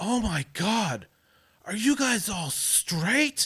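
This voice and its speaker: Using a put-on character voice, a man speaks at a very slow pace with a high pitch and very wide pitch swings. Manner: shocked, dawning realization.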